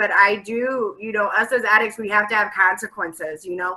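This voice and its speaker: A woman with an American accent speaks at a moderate pace. Her pitch is fairly high and her tone bright and sharp. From US Midwest (Ohio). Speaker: peer recovery coach. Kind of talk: online community forum discussion.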